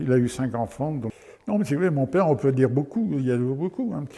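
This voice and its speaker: Noticeable background noise behind a male voice at medium pitch. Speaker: massacre witness. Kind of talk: testimony.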